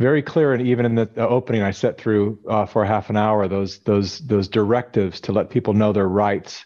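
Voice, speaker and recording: Using an unremarkable speaking voice, a man with an American accent and a fairly low pitch talks at a fairly quick pace with hardly any pauses, very even loudness and ordinary pitch variation. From California. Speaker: documentary filmmaker. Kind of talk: interview conversation.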